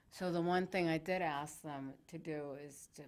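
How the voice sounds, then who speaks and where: Speaking at a moderate pace, a woman uses a very deep, low voice with fairly even intonation. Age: 60s. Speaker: talk show host. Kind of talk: casual interview chat.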